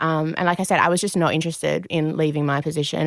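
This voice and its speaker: A fairly low-pitched woman with an Australian accent, a fairly quick pace and ordinary pitch variation, in a very clean, dry, close recording with a silent background and no echo. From Perth, Western Australia. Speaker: activewear brand co-owner. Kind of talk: interview.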